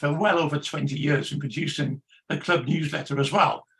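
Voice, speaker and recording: In an English accent, the speaker has a bright, sharp tone at a moderate pace. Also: man. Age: 70s. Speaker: magazine editor. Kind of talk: panel discussion. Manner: halting, many fillers and repetitions.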